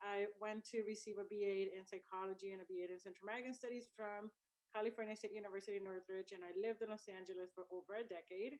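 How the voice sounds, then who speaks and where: Speaking at a very fast pace, a woman uses a medium pitch and a monotone, flat intonation. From El Salvador. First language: Spanish. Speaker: university student services director. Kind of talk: introduction speech on a video event.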